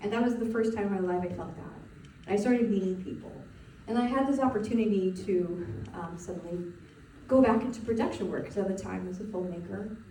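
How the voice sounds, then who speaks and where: A woman talks at a very fast pace and medium pitch, with ordinary pitch variation and big swings in loudness. Noticeable background noise and audible room echo fill the recording. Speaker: spiritual coach. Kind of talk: webinar presentation. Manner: casual, halting with fillers.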